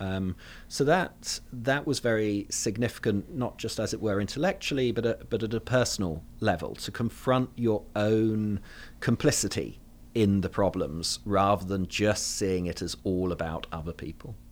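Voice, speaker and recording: On a very clean recording with a silent background, a man with a southern English accent talks at a moderate pace in a fairly low voice with ordinary pitch variation. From London, England. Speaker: theology professor. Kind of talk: interview.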